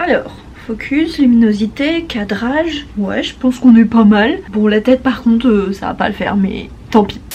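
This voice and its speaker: Intonation is lively at a moderate pace. Noticeable background noise is heard. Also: woman, fairly high pitch for a woman. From Brittany, France. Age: 20s. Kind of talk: casual talk to camera. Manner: upbeat.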